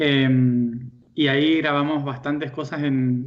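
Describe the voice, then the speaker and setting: A man's fairly high-pitched voice with audible room echo. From Argentina. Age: young. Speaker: spiritual teacher. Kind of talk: interview. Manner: hesitant, many fillers.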